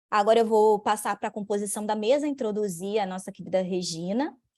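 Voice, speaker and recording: A woman speaks at a fairly quick pace with a Rio de Janeiro accent. Her pitch varies in an ordinary way. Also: very clean recording, silent background. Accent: Rio de Janeiro (carioca). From Brazil, Rio de Janeiro. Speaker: lawyer and bar association commission head. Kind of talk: event opening and speaker introduction.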